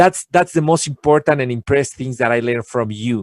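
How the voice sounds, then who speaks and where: Speaking with a Spanish accent and ordinary pitch variation, a man is heard in a dry, close recording with no echo. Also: very clean recording, silent background. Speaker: guest speaker on learning. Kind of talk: casual interview chat. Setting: live video show. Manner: halting, repetitive.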